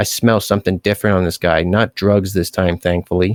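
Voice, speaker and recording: A man speaks in a raspy, put-on character voice with a very deep, low pitch at a fairly quick pace, in a very clean recording with a silent background. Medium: read story.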